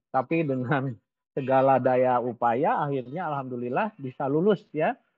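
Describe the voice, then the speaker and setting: This man's voice sits at a medium pitch. Its pitch varies in an ordinary way. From West Java, Indonesia (Ciamis). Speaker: business coach. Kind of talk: webinar talk. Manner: casual, conversational.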